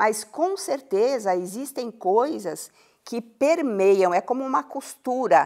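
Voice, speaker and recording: Her voice is fairly high in pitch with a dark, mellow tone, and this woman's pitch swings very widely. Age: 70s. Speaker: educator on happiness science. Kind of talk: TV interview.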